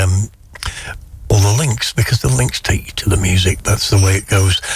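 Noticeable background noise runs behind this speaker. The intonation is lively and the pace fairly quick. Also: man. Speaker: radio DJ. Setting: radio studio broadcast. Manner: warm, plain-spoken enthusiast who praises tracks as brilliant and fantastic.

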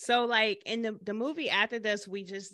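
A bright, sharp voice with an American accent at a moderate pace, with fairly even intonation over a quiet background. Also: woman. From Michigan. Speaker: filmmaker. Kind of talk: casual interview chat.

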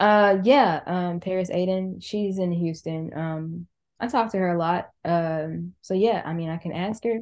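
With an American accent, a woman speaks in an ordinary speaking voice of fairly low pitch, at a fairly slow pace with ordinary pitch variation over a quiet background. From Charlotte, North Carolina. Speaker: DJ. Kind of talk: casual chat.

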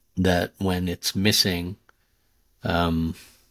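A man with an American accent, very deep and low in pitch, bright and sharp in tone, monotone and flat, in a dry, close sound with no echo. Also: very clean recording, silent background. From US, grew up partly in India. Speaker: podcaster and storyteller. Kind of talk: interview conversation.

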